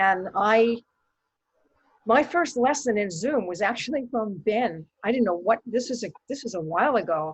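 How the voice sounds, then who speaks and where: A woman's fairly high, somewhat breathy voice with lively intonation at a moderate pace. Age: old. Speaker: solo theater performer. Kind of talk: casual chat. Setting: video call. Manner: halting.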